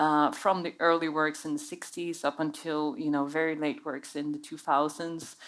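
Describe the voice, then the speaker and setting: On a very clean recording with a silent background, a woman with a Swedish accent speaks in a very deep, low pitch and a monotone, flat intonation at a moderate pace, with hardly any pauses. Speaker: curator. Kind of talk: panel discussion. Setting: stage with audience.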